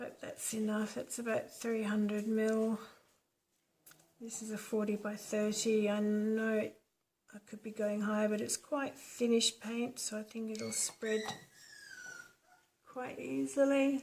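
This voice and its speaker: Somewhat breathy and fairly high-pitched, a woman talks at a fairly slow pace with long, frequent pauses. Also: fairly even intonation. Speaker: acrylic pouring artist. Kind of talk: tutorial. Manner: soft-spoken; quieter when concentrating.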